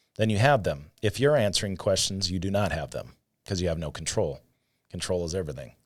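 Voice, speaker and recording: In a very clean recording with a silent background, a man with a very deep, low pitch and vocal fry talks at a very fast pace with lively intonation. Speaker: insurance sales agent. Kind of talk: casual podcast chat.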